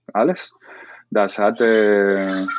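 The speaker is a man. His intonation is lively. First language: Spanish (speaking German). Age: 30s. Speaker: salsa dance teacher. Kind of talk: interview. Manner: halting.

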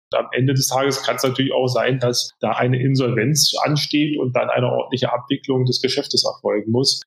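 A man speaks at a fairly quick pace at a medium pitch. His intonation stays monotone and flat. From Berlin. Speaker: bank executive. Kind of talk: interview. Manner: hesitant with fillers.

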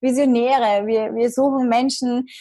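A woman's unremarkable speaking voice with ordinary pitch variation. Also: quiet background. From Austria, Vienna. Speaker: marketing entrepreneur and magazine publisher. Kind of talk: podcast interview.

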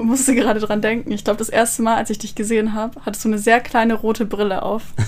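A woman with a fairly high voice at a very fast pace. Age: 20s. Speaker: psychology student. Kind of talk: casual chat.

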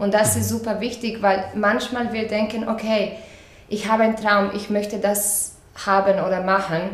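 A Croatian accent with monotone, flat intonation at a moderate pace, amid noticeable background noise and audible room echo. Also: woman, medium pitch for a woman. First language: Croatian (speaking German). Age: 30s. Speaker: dance teacher. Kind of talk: interview. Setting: in person, open window. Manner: halting, with fillers.

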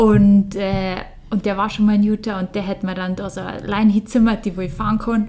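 In a Bavarian accent, a woman speaks at medium pitch with monotone, flat intonation. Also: fairly quick pace. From Bavaria, Germany. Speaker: professional mountain biker. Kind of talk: casual interview.

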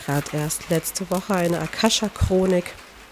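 A woman keeps her intonation fairly even while noticeable background noise runs underneath. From Poland. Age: 30s. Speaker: podcast host and life coach. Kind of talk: personal monologue. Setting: outdoors by a lake.

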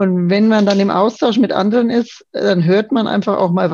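Using a dark, mellow tone with vocal fry, a woman speaks at a moderate pace. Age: 50s. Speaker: yoga course participant, office manager. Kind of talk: casual interview. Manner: hesitant, many fillers.

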